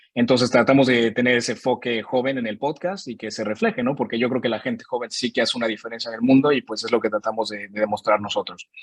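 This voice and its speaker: The delivery is very fast with hardly any pauses and fairly even intonation. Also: man, medium pitch for a man. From Mexico. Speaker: podcast host presenting his show. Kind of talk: virtual panel presentation. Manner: casual, with many fillers.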